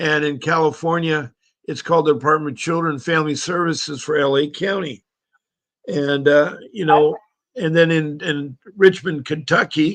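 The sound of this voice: This raspy voice talks at a moderate pace. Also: man.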